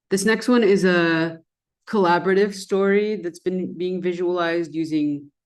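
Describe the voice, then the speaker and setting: In an Arabic accent, a woman speaks at a moderate pace. Her pitch is fairly low, with ordinary variation. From Persian Gulf. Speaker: designer and researcher. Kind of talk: presentation.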